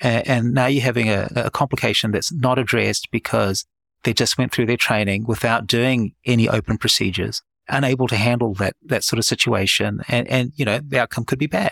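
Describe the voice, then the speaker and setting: In a very clean recording with a silent background, a man with a New Zealand accent and a medium pitch talks at a fairly quick pace, keeping fairly even intonation and very even loudness. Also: dry, close sound with no echo. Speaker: head and neck surgeon and founder. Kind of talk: interview.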